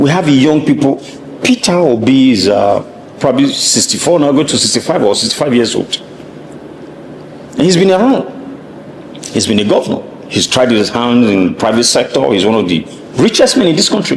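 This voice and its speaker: Over noticeable background noise, a man with a fairly high pitch speaks at a fairly quick pace with very even loudness, very wide pitch swings, and long, frequent pauses. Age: 60s. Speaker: political commentator. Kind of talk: interview.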